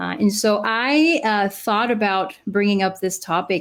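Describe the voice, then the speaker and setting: A woman with a Spanish accent talks at a moderate pace and a medium pitch. The recording is very clean, with a silent background. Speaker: clinical psychologist, podcast co-host. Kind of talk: casual podcast chat. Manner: frequent fillers 'uh'.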